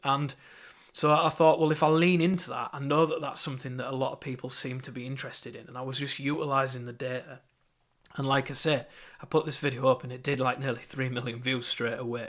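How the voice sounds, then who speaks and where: A man with a Yorkshire accent at a very fast pace, medium pitch, fairly even intonation and big swings in loudness. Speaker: marketing course teacher. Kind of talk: lecture. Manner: casual, with fillers and repetitions.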